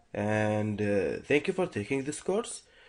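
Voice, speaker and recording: Over a quiet background, a man talks with a non-native accent. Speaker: programming instructor. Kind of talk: tutorial. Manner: halting, many fillers and restarts.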